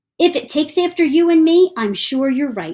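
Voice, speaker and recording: In a squeaky, put-on character voice, a woman speaks at a high pitch and a moderate pace with lively intonation. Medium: read story. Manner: earnest, somewhat formal.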